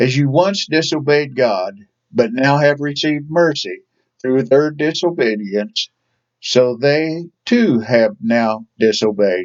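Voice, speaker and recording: With an Ozark accent, a man speaks at a very slow pace in a fairly high pitch, with lively intonation and very even loudness. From Ozarks, southern United States. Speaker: Sunday school teacher. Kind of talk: Bible study lesson.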